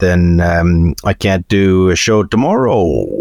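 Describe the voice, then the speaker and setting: Here a man talks at a very slow pace. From Canada. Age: 40s. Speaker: stand-up comedian. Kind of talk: casual chat.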